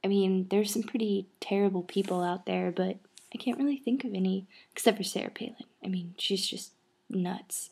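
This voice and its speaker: A soft-spoken, somewhat breathy woman talks at a fairly quick pace. Her intonation is fairly even on a very clean recording with a silent background. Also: medium pitch for a woman. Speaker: vlogger. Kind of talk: casual vlog. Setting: outdoors then indoors, early morning. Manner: soft-spoken, talking quietly.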